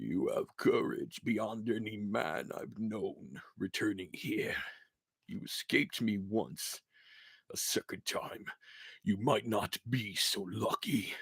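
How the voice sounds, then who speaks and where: In a put-on character voice, a man speaks raspily at a fairly slow pace. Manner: monotone, emotionless, angry.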